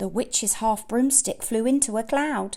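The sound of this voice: At a fairly slow pace, a woman with a fairly high pitch speaks in a slightly mellow tone with vocal fry and ordinary pitch variation.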